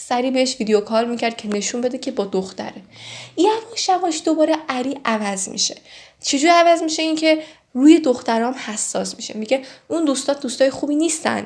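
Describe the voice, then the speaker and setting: Lively intonation runs through the speech. It moves fairly quickly. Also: woman, high pitch for a woman. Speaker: true crime storyteller. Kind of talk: casual storytelling. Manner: conversational.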